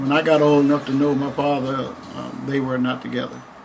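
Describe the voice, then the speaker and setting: Against noticeable background noise and audible room echo, a man in an American accent talks at a fairly quick pace. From Texas, Waco. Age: 70s. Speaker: minister. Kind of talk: interview. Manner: halting.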